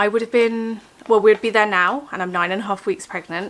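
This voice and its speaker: A woman talks very fast with ordinary pitch variation while noticeable noise sounds in the background. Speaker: vlogger. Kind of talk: casual vlog talk. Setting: at home. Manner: soft-spoken.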